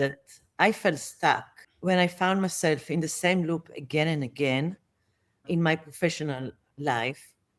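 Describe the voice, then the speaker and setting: With an Israeli accent, a woman talks in a very deep, low pitch with ordinary pitch variation. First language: Hebrew. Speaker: managerial therapist, guest. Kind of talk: interview conversation.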